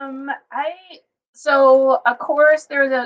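A woman's high-pitched voice with an American accent. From Fort Wayne, Indiana, US Midwest. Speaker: landscape architect and author. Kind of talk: casual chat. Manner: hesitant with many fillers.

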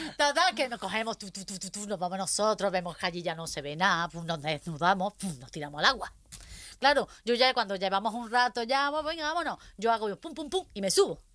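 At a fairly quick pace, a woman speaks in a medium pitch with a bright, sharp tone. Her pitch swings very widely and her loudness shifts greatly. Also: very clean recording, silent background. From Córdoba, Spain. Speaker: comedian. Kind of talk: casual chat.

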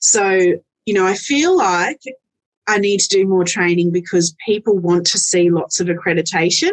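A woman's unremarkable speaking voice, medium in pitch, with ordinary pitch variation and a fairly slow pace. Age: 40s. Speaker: end of life doula and celebrant. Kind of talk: casual interview chat.

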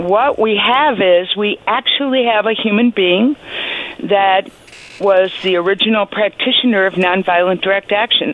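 Medium-pitched female voice at a fairly slow pace, ordinary pitch variation and very even loudness, over noticeable background noise. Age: 70s. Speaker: historian of the suffrage movement. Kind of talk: radio interview. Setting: phone call.

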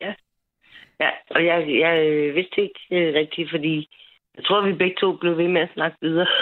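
A woman's fairly low, flat monotone at a fairly slow pace, broken by long, frequent pauses. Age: 40s. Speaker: caller. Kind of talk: phone-in call.

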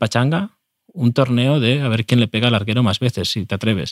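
Recorded very cleanly against a silent background, with a dry, close sound and no echo, a man talks at a medium pitch and a fairly quick pace with ordinary pitch variation. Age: 30s. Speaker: football podcast co-host. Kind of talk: casual chat. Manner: halting.

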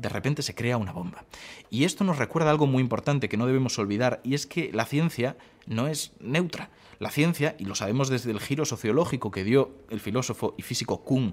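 A man talks very fast at a medium pitch, his intonation lively. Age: 20s. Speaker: science communicator. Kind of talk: interview.

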